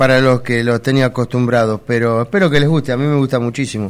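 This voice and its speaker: A man at medium pitch talks at a fairly quick pace. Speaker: radio host. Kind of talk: casual chat.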